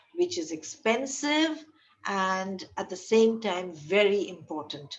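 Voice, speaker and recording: At a fairly slow pace, a woman speaks in a somewhat breathy voice whose pitch swings very widely. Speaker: medical lecturer. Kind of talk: lecture.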